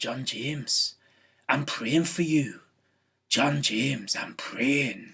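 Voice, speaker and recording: Raspy and fairly high-pitched, a man in a put-on character voice with a Scottish accent speaks at a very slow pace with long, frequent pauses. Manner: stern, intense.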